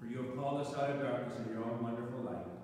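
A man's medium-pitched voice in strong room echo, with light background noise. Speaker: priest. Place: church.

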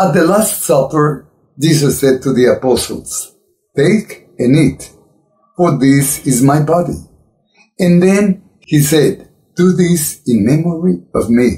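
A man's somewhat breathy, dark, mellow voice at a very slow pace, with long, frequent pauses over a quiet background. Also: lively intonation. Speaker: religious commentator. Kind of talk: sermon. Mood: earnest, admonishing.

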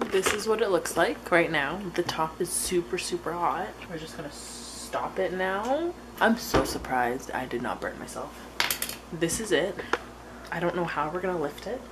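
A woman talks at a moderate pace. Loud background noise sits behind her. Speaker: vlogger. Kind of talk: casual vlog chat. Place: kitchen. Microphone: phone near.

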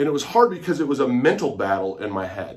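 A man talking at a fairly quick pace against a quiet background. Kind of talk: casual vlog chat. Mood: earnest, reflective. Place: home room. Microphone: phone near.

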